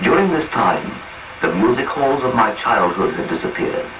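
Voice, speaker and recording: Noticeable background noise surrounds a man as he speaks. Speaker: radio narrator. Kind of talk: radio autobiography reading.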